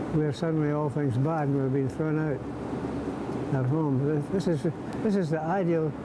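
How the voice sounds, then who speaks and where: A man at a moderate pace with long, frequent pauses, against loud background noise. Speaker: WWII veteran, author and museum volunteer. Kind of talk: elder life story, earnest appeal recalling wartime comrades and the museum's plight. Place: hall.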